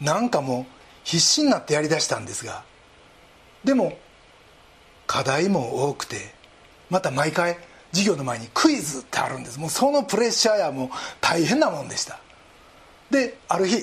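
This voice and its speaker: Here a man speaks with a high pitch and very wide pitch swings at a moderate pace. His loudness swings widely, and he leaves long, frequent pauses. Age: 60s. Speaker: pastor. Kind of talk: sermon.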